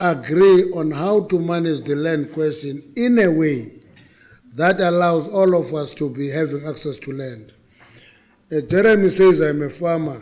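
Slightly unhurried, a man delivers his words at a fairly slow pace. Pitch rises and falls in an ordinary way. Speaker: government minister addressing a forum. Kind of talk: speech. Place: hall. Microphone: podium.

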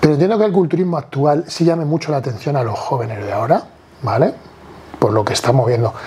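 A man at a fairly high pitch, with lively intonation and a very fast pace, over light background noise. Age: 40s. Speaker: bodybuilder; podcast guest. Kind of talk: casual chat. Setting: at home, on a sofa. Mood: casual, animated. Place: home room. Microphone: lapel.

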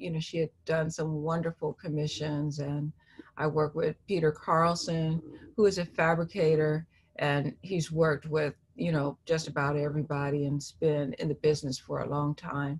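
Her voice is very deep and low for a woman, somewhat breathy, and monotone, with flat intonation. The woman speaks at a moderate pace. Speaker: interviewee. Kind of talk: interview answer. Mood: calm, reflective. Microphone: video call.

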